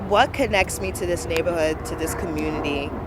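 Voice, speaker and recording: In an American accent, a woman with a fairly low pitch speaks in an animated tone over noticeable background noise. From Brooklyn, New York (Flatbush and Crown Heights). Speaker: community arts organizer. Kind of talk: interview testimony.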